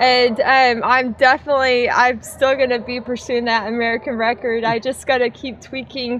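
A woman speaks at a moderate pace in a high, monotone, flat voice, with hardly any pauses, light background noise and a dry sound with no echo. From United States. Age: 30s. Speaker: ultramarathon runner; interviewee. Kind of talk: post-race interview. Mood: relaxed, happy, laughing. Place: open country. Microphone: camera far.

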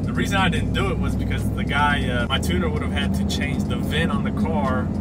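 A man races along at a very fast pace with music playing behind him. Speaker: truck owner vlogger. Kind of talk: casual vlog chat. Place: car. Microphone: phone near.

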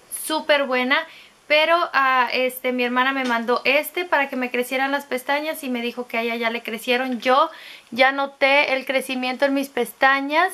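A woman speaks in a raised, projected voice with a bright, sharp tone and a high pitch. Her intonation is fairly even and her pace moderate. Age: 30s. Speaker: beauty vlogger. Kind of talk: product review monologue. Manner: casual, filler-heavy. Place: home room. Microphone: phone near.

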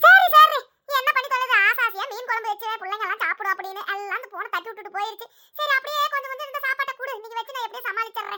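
In a cartoonish character voice, a woman speaks fairly quickly at an extremely high pitch, with ordinary pitch variation and big swings in loudness. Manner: fast, scolding.

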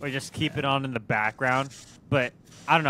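A man speaks with a bright, sharp tone. The sound is dry with no echo, over light background noise. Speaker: podcast co-host. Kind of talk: casual podcast chat. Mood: relaxed, joking. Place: home room. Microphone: studio mic.

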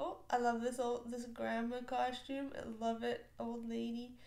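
A woman speaks at a moderate pace with a high pitch. Room echo is audible. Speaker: reaction video creator. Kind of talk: casual vlog chat. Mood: warm, amused. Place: home room.

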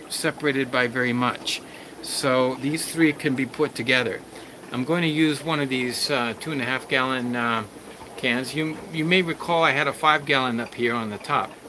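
With fairly even intonation and a moderate pace, a man speaks through noticeable background noise. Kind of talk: casual tutorial vlog. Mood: calm, explanatory. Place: home room. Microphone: phone near.

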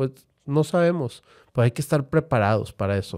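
A man with a dark, mellow tone talks at a moderate pace over a quiet background. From Monterrey, Nuevo León, Mexico. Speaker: football fan and online community co-founder; podcast guest. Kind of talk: casual chat. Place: studio. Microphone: studio mic.

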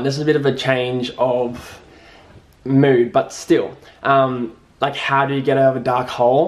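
Medium-pitched male speech with an Australian accent. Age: 20s. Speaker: YouTuber. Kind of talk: casual Q&A vlog. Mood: cheerful, relaxed. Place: home room.

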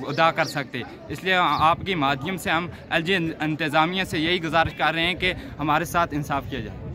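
At a moderate pace, a man speaks with fairly even intonation, the sound dry with no echo and noticeable background noise behind him. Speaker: protest spokesman. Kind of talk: interview answer. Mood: earnest appeal for justice. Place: street.

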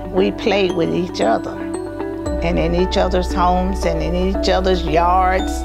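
A woman with an American accent, clear music in the background. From North Titusville, Florida. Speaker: oral history interviewee. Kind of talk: interview answer. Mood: warm, nostalgic, smiling. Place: office. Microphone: lapel.

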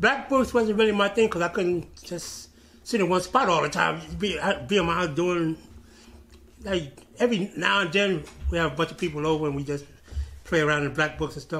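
Over light background noise, a man with a New York accent talks fairly quickly in a bright, sharp tone with lively intonation. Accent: New York City. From Brooklyn, New York City; New York City. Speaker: former graffiti writer; interviewee. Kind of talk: oral history interview. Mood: relaxed, nostalgic. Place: office.

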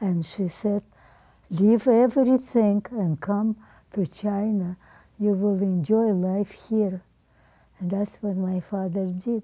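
Against a quiet background, a woman speaks at a very slow pace and medium pitch, her tone dark and mellow, her intonation fairly even, with long, frequent pauses. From Ukraine. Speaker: centenarian interviewee; interviewee. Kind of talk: oral history interview. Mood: somber, recalling hardship. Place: home room.

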